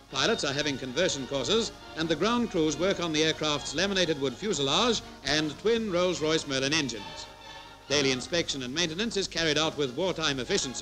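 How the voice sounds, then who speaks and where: Over clear background music, this man's speech moves at a fairly quick pace. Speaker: newsreel narrator. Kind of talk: commentary.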